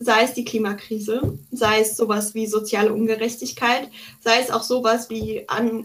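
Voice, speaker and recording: Here a woman speaks with a fairly high pitch. Her intonation is monotone and flat. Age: 20s. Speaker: psychology student and political activist. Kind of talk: interview.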